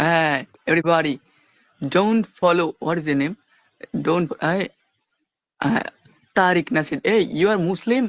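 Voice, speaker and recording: A man with a Bangladeshi accent speaks at a fairly slow pace in a high pitch, with ordinary pitch variation. He leaves long, frequent pauses, and the sound is dry and close with no echo. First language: Bengali. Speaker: caller. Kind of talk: call-in conversation. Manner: halting, broken English.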